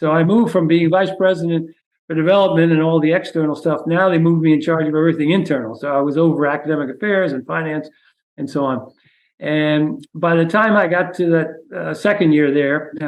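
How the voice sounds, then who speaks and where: Here is a man with a New York accent and a fairly high voice. He talks at a fairly quick pace. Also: ordinary pitch variation. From New York City (the Bronx). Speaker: retired university president. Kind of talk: interview. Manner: hesitant, many fillers.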